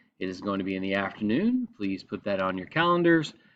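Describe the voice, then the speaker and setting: Lively intonation runs through this voice with an American accent. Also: man. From Texas. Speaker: high school teacher. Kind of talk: recorded presentation to parents.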